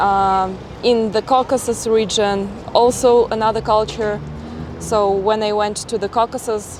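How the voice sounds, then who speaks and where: A woman with a Russian accent speaks at a fairly slow pace in a fairly high pitch. Her intonation is monotone and flat, with music in the background. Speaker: travel vlogger. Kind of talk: casual interview.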